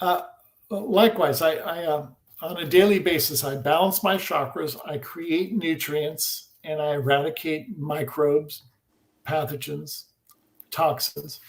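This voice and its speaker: This man has an unremarkable speaking voice with a fairly high pitch. He speaks at a fairly slow pace with ordinary pitch variation. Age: 60s. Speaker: scalar energy researcher. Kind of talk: interview. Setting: live video stream.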